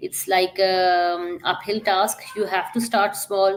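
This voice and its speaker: A woman with a Pakistani accent, medium pitch, monotone and flat intonation, very slow pace. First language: Urdu. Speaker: digital entrepreneur. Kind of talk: podcast interview. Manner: hesitant with frequent fillers.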